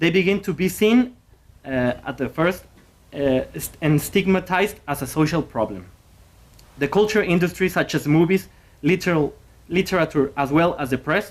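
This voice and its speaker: A moderate pace broken by long, frequent pauses, with a Spanish accent. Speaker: graduate student presenter. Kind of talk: conference presentation. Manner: halting.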